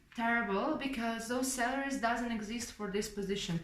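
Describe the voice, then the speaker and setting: Audible room echo is present. There is also noticeable background noise. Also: woman. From Ukraine. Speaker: English teacher and vlogger. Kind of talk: casual vlog talk. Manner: hesitant with fillers (um, uh).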